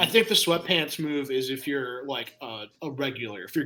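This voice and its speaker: A fairly high-pitched man with an American accent, moderate pace and ordinary pitch variation. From US South, Atlanta, Georgia. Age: 20s. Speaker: podcast guest. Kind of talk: casual chat, storytelling. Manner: animated.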